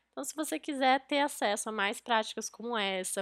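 The sound is dry and close, without any echo. A woman talks at a moderate pace. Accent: Brazilian. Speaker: podcast host. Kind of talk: podcast intro and outro, promotional.

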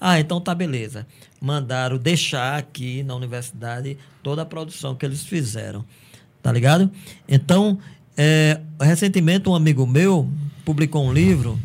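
A man with a fairly high voice speaks at a moderate pace, somewhat breathily, with ordinary pitch variation and long, frequent pauses. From Brazil, Paraíba (Cajazeiras). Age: 50s. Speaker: teacher and musician. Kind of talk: casual chat.

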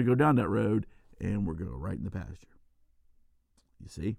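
Lively intonation from a man talking at a fairly quick pace. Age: 50s. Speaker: podcast host, combat veteran. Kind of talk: solo casual monologue. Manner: halting, many fillers.

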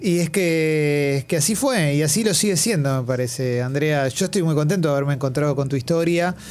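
A man's fairly high voice at a fairly quick pace, with very even loudness, hardly any pauses and ordinary pitch variation, over noticeable background noise. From Argentina. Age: 40s. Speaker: radio host. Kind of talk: radio interview. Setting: studio.

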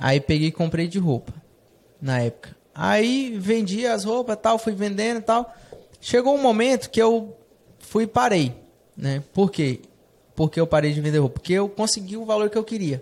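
A man with a high pitch talks at a moderate pace, his lively intonation broken by long, frequent pauses. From Brazil, Rondônia (Jaru). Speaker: fashion entrepreneur. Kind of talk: casual interview chat. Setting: studio, streamed live on Instagram.

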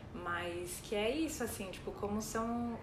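A woman with a fairly high pitch and ordinary pitch variation speaks at a fairly slow pace, with noticeable background noise and audible room echo. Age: 30s. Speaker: podcast co-host. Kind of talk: casual chat.

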